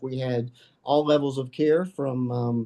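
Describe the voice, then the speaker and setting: A man talks in a dark, mellow tone at a fairly high pitch. His pace is moderate. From Kentucky, Murray. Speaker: addiction medicine physician. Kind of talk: interview. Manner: halting, many fillers.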